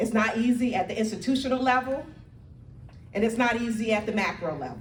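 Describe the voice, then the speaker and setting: Over noticeable background noise and audible room echo, a woman with a fairly high pitch talks at a fairly quick pace with ordinary pitch variation. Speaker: community organizer. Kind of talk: speech to audience. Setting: church hall with live audience. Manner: loud.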